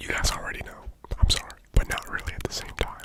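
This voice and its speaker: Someone whispers over noticeable background noise. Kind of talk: sponsor read in ASMR video. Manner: whispered.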